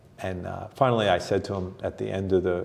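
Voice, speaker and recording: Speaking with an American accent in an ordinary speaking voice, a man keeps a moderate tempo. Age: 60s. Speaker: author and performance coach. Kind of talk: casual interview.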